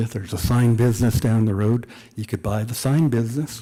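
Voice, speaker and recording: Somewhat breathy and dark, mellow in tone, a man's medium-pitched voice runs at a fairly quick pace with fairly even intonation. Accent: Canadian. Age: 60s. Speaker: author. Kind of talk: public talk at a book event.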